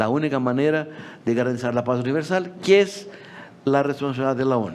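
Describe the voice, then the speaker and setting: Over noticeable background noise, a man speaks at a fairly quick pace with a medium pitch and lively intonation. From Brazil. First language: Portuguese (speaking Spanish). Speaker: agricultural policy expert. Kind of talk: conference talk. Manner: halting.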